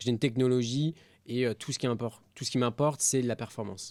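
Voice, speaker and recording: Here is a man with a normal speaking voice at a medium pitch and fairly even intonation. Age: 20s. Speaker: entrepreneur, company CEO. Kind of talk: podcast interview.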